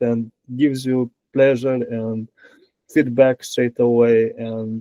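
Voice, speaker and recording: Speaking with a non-native accent, a man has medium pitch and a dark, mellow tone. His pace is very slow, and the sound is dry and close with no echo. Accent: foreign. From Romania. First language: Romanian. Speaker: software engineer. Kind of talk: interview. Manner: halting.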